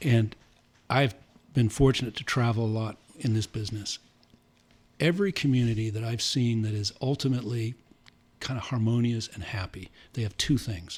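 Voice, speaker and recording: A man talks at a moderate pace and medium pitch, somewhat breathy, with ordinary pitch variation and long, frequent pauses. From Santa Ynez Valley, California. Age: 60s. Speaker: winery and brewery co-founder. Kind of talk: casual interview chat.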